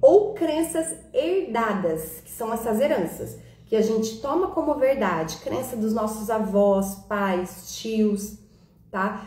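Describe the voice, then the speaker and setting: A woman's fairly high voice, lively in intonation, at a very slow pace, with audible room echo. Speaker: holistic therapist and live-stream host. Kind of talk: live-stream talk. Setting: live stream on Instagram and YouTube.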